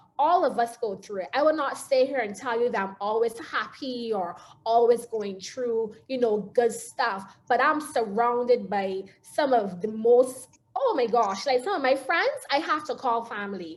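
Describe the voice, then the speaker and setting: A woman speaks in a Barbadian accent at a fairly slow pace. Her fairly high pitch carries lively intonation. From Barbados. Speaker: motivational speaker. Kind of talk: talk.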